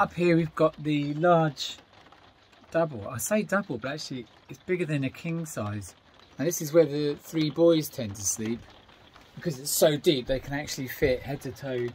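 With music in the background, a man speaks at a moderate pace with ordinary pitch variation and big swings in loudness. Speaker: DIY motorhome vlogger. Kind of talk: casual vlog chat. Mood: upbeat, lightly humorous. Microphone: phone near.

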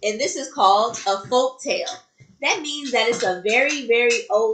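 Aloud reading, plainly done

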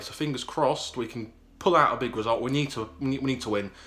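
The pace is very fast as a man talks. He keeps his intonation fairly even. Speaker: football fan vlogger. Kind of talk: casual vlog chat. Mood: hopeful, slightly anxious. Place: home room. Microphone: phone near.

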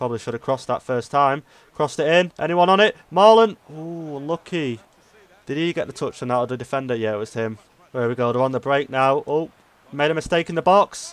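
An ordinary speaking voice, this man talks fairly quickly at a medium pitch with lively intonation, recorded dry and close with no echo. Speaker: gaming YouTuber. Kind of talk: live gameplay commentary. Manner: excitable, reactive.

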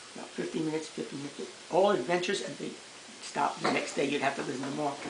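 Noticeable background noise sits behind a man as he talks. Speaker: grandfather telling stories. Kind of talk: storytelling, recounting childhood memories. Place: home room. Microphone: camera far.

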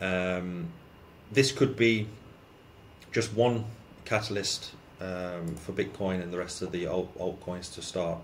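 A man speaks with ordinary pitch variation and a somewhat breathy voice over light background noise. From UK. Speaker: crypto YouTuber. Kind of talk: market commentary vlog. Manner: casual with frequent fillers.

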